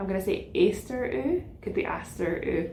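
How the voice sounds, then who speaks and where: A woman in a Scottish accent speaks at a moderate pace amid audible room echo. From Scotland, central belt, west of Glasgow. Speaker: knitting podcaster. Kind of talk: casual chat.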